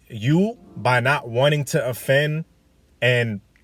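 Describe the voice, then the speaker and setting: With ordinary pitch variation, the man talks in a medium-pitched, somewhat breathy voice. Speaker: dating vlogger. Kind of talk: casual monologue. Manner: animated.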